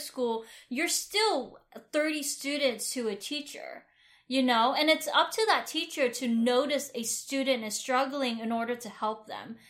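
Here a woman speaks with a Vietnamese accent at a high pitch. Her pace is moderate, with ordinary pitch variation. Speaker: podcast co-host. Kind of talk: casual chat.

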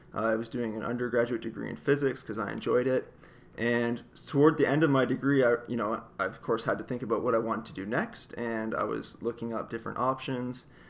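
Talking at a fairly quick pace, a man with a southern Ontario accent keeps a medium pitch and monotone, flat intonation. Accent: southern Ontario Canadian. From Canada, Windsor area across from Detroit. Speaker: planetary scientist. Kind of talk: interview.

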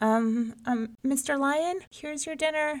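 A woman puts on a character voice, high-pitched and shaky.

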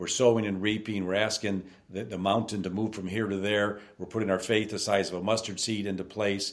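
A man with an American accent, fairly low in pitch, at a fairly quick pace with hardly any pauses and a monotone, flat intonation. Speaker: business owner. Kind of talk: interview.

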